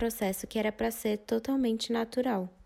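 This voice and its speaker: A woman's fairly high voice with a dark, mellow tone, on a very clean recording with a silent background. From Brazil. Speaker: podcast host, mother. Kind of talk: informative podcast monologue.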